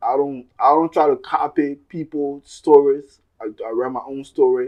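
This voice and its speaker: With an American accent, the speaker keeps a monotone, flat intonation at a moderate pace while the loudness swings widely. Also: man, fairly high pitch for a man. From Liberia. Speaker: musician. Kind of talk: interview. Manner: halting.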